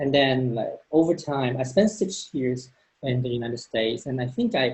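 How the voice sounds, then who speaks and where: A somewhat breathy man with a fairly high pitch, at a moderate pace. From Hong Kong. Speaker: neuroscientist. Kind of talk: panel discussion. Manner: hesitant, many fillers and repetitions.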